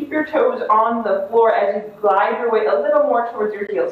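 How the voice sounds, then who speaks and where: With audible room echo, a woman speaks at a fairly high pitch. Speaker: yoga instructor. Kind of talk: guided yoga and meditation class. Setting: online live video class. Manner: gentle, instructive, with long pauses.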